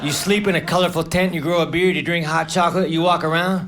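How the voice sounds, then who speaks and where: American accent in a man's high-pitched voice, monotone and flat, at a moderate pace amid noticeable background noise. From United States. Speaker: stand-up comedian. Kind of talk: stand-up comedy set.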